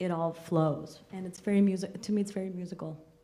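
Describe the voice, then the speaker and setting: Noticeable background noise behind a woman's fairly low, flat, monotone voice at a moderate pace. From Austria. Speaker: theatre artist. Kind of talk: post-show panel discussion.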